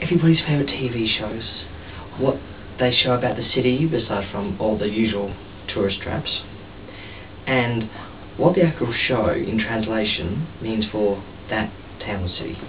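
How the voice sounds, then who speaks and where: A man speaks quietly at a medium pitch with lively intonation and long, frequent pauses, over noticeable background noise and audible room echo. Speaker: video blogger. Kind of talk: comedic vlog monologue. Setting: outdoors on a balcony at night. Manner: quiet, hushed; animated.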